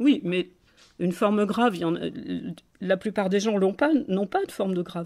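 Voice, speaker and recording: Speaking at a moderate pace, a woman uses a medium pitch with ordinary pitch variation and long, frequent pauses. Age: 60s. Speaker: political activist and blogger. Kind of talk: phone call with a government hotline. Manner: halting, many hesitations and repetitions.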